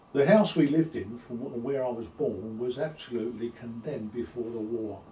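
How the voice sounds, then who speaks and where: With a London accent, a man talks at a fairly quick pace and ordinary pitch variation against noticeable background noise. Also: medium pitch for a man. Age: 70s. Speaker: oral history interviewee. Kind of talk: oral history interview. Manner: halting.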